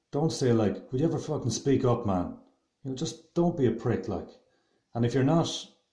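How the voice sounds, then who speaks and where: Speaking with an Irish accent, a man has a dark, mellow tone and ordinary pitch variation. Some room echo can be heard. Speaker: video blogger. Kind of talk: opinion monologue. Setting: at home, house shared with others. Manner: loud.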